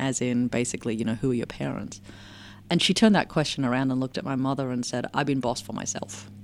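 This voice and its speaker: Talking at a very fast pace, a woman with an American accent uses a very deep, low pitch, vocal fry and ordinary pitch variation. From Australia, working-class Melbourne. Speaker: anthropologist and technology researcher. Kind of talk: interview.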